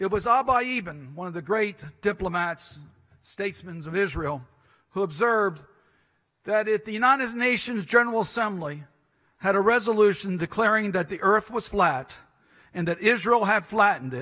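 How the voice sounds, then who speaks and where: A man speaks in a raised, projected voice. His tone is bright and sharp against a quiet background. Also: moderate pace. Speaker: politician giving a speech. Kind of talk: conference speech. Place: hall. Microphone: podium.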